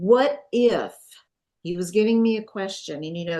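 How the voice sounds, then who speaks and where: A woman talks with an American accent at a moderate pace. Her pitch varies in an ordinary way. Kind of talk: testimony. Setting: at home.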